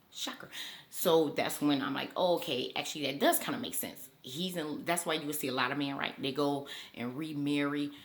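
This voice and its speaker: With ordinary pitch variation, a woman speaks at a very deep, low pitch amid audible room echo. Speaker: YouTuber. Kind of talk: casual commentary vlog. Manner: fast.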